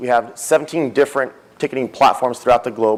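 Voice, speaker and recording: A man speaks at a very fast pace. His medium-pitched voice keeps a fairly even intonation. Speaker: conference speaker, technology executive. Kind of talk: conference talk.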